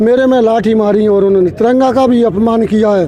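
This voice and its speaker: Through noticeable background noise, a man speaks at an extremely high pitch with fairly even intonation. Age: 60s. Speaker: protesting farmer. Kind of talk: street interview testimony. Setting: outdoors at a protest.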